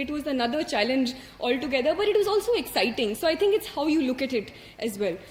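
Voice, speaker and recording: Over noticeable background noise, a woman with an Indian accent talks in a high pitch. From India, Hindi-speaking. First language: Hindi. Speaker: civil service exam topper. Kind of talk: motivational talk to an audience. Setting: stage with audience. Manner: halting, many fillers.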